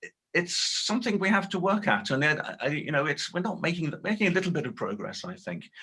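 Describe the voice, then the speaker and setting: Pitched high for a man, he speaks at a very fast pace with ordinary pitch variation. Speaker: linguist, accent expert. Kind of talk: webinar Q&A answer. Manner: halting, many fillers and repetitions.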